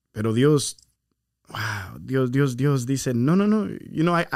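Speaking at a very slow pace, a man with a medium pitch uses lively intonation. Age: 30s. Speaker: podcast host, church minister. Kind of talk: casual chat. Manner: code-switching, hesitant with fillers.

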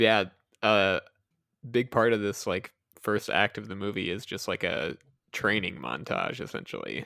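A man with a fairly low pitch speaks at a moderate pace, in a bright, sharp tone with vocal fry and ordinary pitch variation. His long, frequent pauses stand out on a very clean recording with a silent background. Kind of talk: casual chat.

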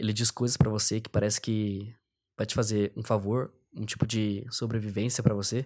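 Intonation from this man stays monotone and flat. He talks at a moderate pace. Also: fairly low pitch for a man. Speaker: podcast host. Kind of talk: solo monologue.

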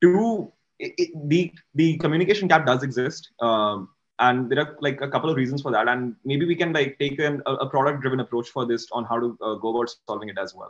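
Here a man talks at a fairly quick pace in an unremarkable speaking voice. His pitch is medium and his intonation lively. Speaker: software developer. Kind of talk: panel discussion.

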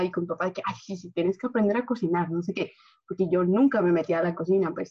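A woman talks with an unremarkable speaking voice. She sits at a medium pitch and varies it in an ordinary way. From Guatemala. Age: 20s. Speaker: engineering student. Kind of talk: casual chat.

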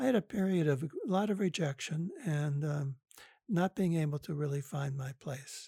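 An unremarkable speaking voice talks at a moderate pace with an American accent and ordinary pitch variation. The sound is dry and close with no echo. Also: man. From US Midwest (Detroit, Michigan). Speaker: psychotherapist and author. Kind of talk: interview. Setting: remote call.

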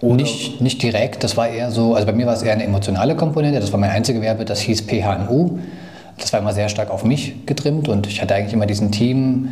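A very fast-talking man at medium pitch, with ordinary pitch variation, audible room echo and noticeable background noise. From Thuringia, Germany. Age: 30s. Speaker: software company founder. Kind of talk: casual interview.

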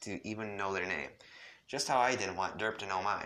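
The voice reads naturally. Its pitch holds fairly even throughout.

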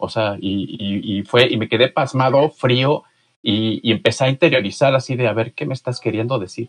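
A somewhat breathy man talks at a moderate pace and a medium pitch with ordinary variation. The sound is dry and close with no echo. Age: 40s. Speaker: author. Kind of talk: interview. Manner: halting.

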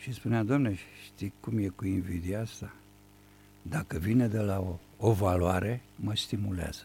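A man with a fairly low, dark, mellow voice speaks at a fairly slow pace. His tone is somewhat breathy, with ordinary pitch variation. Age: 70s. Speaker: writer and playwright. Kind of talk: radio interview. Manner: formal.

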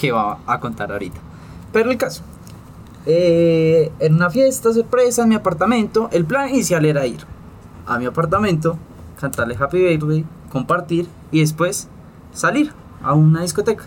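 Using a high pitch and very wide pitch swings, a man speaks at a moderate pace with long, frequent pauses. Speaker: podcast co-host. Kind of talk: casual chat.

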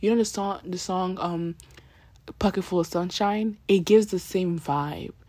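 Her tone dark and mellow, a woman speaks at a moderate pace with fairly even intonation. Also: very clean recording, silent background. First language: not English. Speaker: YouTuber and podcaster. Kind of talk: casual solo review. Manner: halting.

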